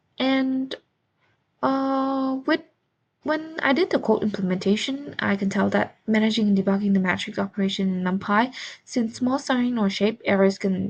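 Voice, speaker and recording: Somewhat breathy and in a non-native accent, a woman speaks at a medium pitch and moderate pace with ordinary pitch variation. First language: not English. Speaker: student. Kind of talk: class presentation. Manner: halting, with fillers.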